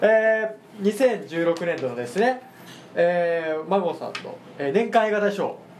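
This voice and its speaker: Big swings in loudness mark this man's speech. He talks at a fairly slow pace with a high pitch. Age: 20s. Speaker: podcast host. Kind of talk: casual chat.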